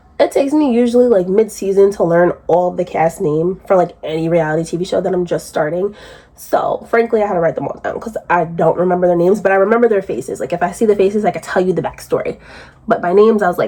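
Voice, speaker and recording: A woman at medium pitch, ordinary pitch variation, very fast pace, noticeable background noise. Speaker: YouTube reality TV commentator. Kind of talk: casual recap commentary. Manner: conversational, filler-heavy.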